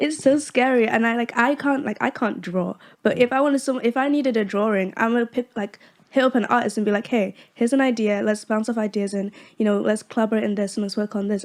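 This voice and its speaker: Her pitch fairly high, a woman speaks at a very fast pace. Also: fairly even intonation. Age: young. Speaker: independent musician. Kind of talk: podcast interview answer. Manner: meek, soft-spoken.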